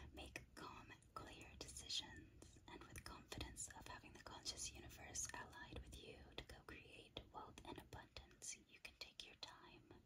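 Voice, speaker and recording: Whispering at a fairly slow pace, the speaker leaves hardly any pauses. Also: woman. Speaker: ASMR creator and tarot/crystal reader. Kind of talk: ASMR crystal card guidebook reading. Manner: whispered, soft-spoken. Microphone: studio mic.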